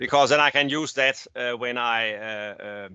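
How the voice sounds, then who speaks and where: A man with a Danish accent, at a fairly slow pace and with ordinary pitch variation. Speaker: naval architect. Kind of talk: technical presentation. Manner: halting.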